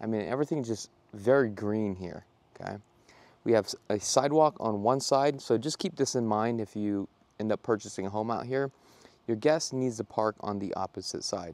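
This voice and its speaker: With ordinary pitch variation, a man talks at a moderate pace in a dry sound with no echo. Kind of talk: walking tour commentary. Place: street. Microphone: phone near.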